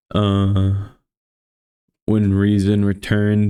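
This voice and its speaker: A man with a tired tone speaks in a fairly low, monotone, flat voice over a very clean recording with a silent background. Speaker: vtuber streamer. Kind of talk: reading a classic horror story aloud, audiobook-style.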